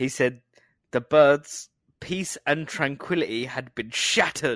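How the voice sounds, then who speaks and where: In a very clean recording with a silent background, a man speaks at a moderate pace with a southern English accent. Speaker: podcast co-host. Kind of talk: casual chat. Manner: joking, good at accents.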